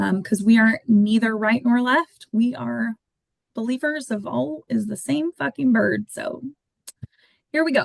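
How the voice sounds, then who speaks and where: Woman's somewhat breathy voice at a fairly slow pace. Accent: American. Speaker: podcast co-host. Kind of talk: casual podcast chat. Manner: hesitant, many filler words.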